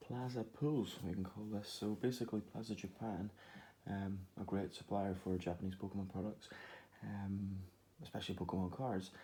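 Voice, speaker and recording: Quiet and somewhat breathy, a man speaks at a moderate pace with fairly even intonation, a fairly low pitch, and a dark, mellow tone. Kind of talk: Pokémon card unboxing talk to camera. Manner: quiet, low voice; hesitant, many fillers.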